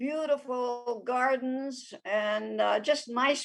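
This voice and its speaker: With a high pitch and ordinary pitch variation, a woman talks. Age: 90s. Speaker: retirement community resident. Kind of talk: interview.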